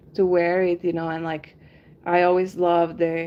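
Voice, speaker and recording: A woman speaks in a Spanish accent with a relaxed tone. Her voice is dark and mellow, at fairly low pitch. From Argentina. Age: 30s. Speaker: henna artist and livestreamer. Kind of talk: casual livestream chat. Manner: relaxed, many filler ums.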